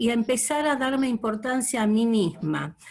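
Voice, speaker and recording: A somewhat breathy woman's voice at a fairly slow pace, with ordinary pitch variation. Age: 60s. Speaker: course participant. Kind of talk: testimony.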